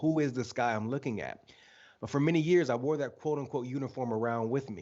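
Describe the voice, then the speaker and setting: Speaking fairly quickly, a man in an American accent has an unremarkable speaking voice. His pitch is medium, with ordinary pitch variation. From Michigan, US. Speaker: author and leadership speaker. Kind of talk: interview. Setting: live video stream.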